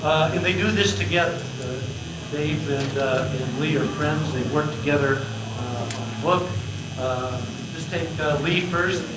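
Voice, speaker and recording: Against loud background noise, a man speaks at a very slow pace with long, frequent pauses. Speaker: event host. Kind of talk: event introduction. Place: meeting room.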